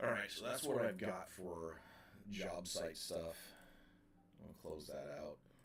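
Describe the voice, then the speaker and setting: Quiet, a man speaks at a very slow pace with long, frequent pauses. Audible room echo surrounds the voice. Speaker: operating engineer streamer. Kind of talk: live stream chat.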